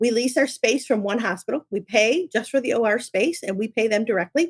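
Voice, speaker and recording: A woman with an American accent talks at a fairly quick pace in a plain, everyday voice, her pitch fairly high and her intonation lively. The sound is dry and close, with no echo. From upstate New York. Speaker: company co-founder. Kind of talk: podcast interview.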